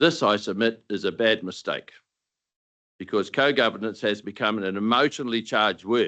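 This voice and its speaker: In a New Zealand accent, a man talks at a moderate pace with a medium pitch, ordinary pitch variation and a bright, sharp tone over a quiet background. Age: 70s. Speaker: retired dairy farmer speaking at a council deputation. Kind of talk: formal submission to council. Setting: council meeting chamber. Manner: formal, read from prepared text.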